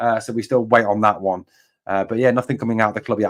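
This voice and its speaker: Speaking with a northeast English accent, a man talks at a very fast pace and medium pitch. His intonation is monotone and flat, and the recording is very clean with a silent background. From northeast England, Durham. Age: 40s. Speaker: football streamer. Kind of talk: live match commentary with chat. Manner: casual, chatty.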